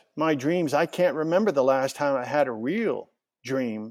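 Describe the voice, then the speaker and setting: The pitch of this man's speech varies in an ordinary way. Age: 60s. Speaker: author and investigative journalist. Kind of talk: interview testimony.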